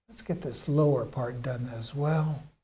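A man's dark, mellow, somewhat breathy voice with an American accent, at a very slow pace. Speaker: painter streaming live. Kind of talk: tutorial. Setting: art studio, live stream. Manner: casual. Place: studio.

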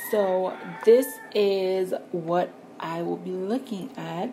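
A woman talks with a slightly mellow tone and ordinary pitch variation. Faint background noise is audible.

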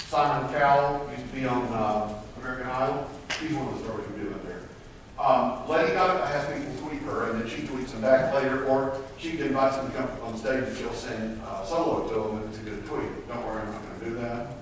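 The speaker talks at a fairly quick pace in a Southern US accent, with ordinary pitch variation. Strong room echo and noticeable background noise fill the recording. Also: man, medium pitch for a man. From US South. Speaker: motivational speaker. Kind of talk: keynote speech. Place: hall. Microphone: camera far.

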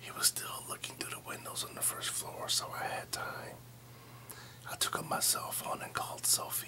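Whispering at a moderate pace, a man gets his words out. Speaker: storyteller. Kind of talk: scary story narration. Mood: tense, spooky storytelling. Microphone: phone near.

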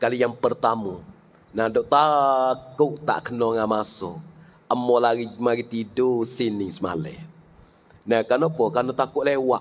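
A man speaks at a fairly slow pace, leaving long, frequent pauses. His pitch varies in an ordinary way. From southern Thailand. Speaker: visiting religious teacher. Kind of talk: religious lecture. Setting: religious school gathering with students. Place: hall. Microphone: handheld.

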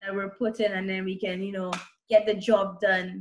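Light background noise sits behind a woman speaking at a moderate pace. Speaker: interview guest. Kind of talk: interview answer. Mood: cheerful, friendly. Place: home room. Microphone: video call.

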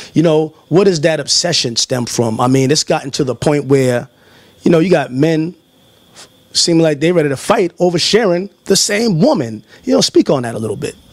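Against a quiet background, a man with a fairly high pitch speaks at a moderate pace with lively intonation. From New York. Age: 40s. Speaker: interviewer. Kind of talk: interview. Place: home room. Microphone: handheld.

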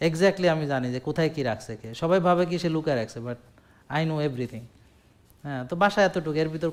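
This man's voice sits at a fairly high pitch. His pitch varies in an ordinary way. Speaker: doctor giving health advice. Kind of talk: health talk to audience with patients present. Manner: animated.

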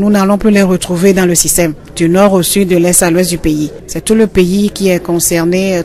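A woman speaks with fairly even intonation over noticeable background noise. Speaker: school inspector. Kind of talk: interview.

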